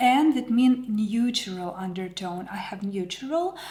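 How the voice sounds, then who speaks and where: A woman speaks very slowly in a Ukrainian accent, her intonation lively. Noticeable background noise runs behind her. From Ukraine. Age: 40s. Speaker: makeup artist. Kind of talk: product review vlog. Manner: hesitant with many fillers.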